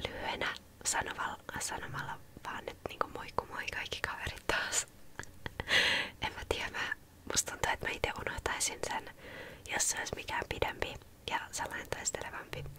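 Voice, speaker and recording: A woman whispers at a moderate pace, leaving long, frequent pauses. Noticeable background noise runs beneath her. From Helsinki, Finland. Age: 20s. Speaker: ASMR artist. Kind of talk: ASMR Q&A talk to camera. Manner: soft-spoken, casual.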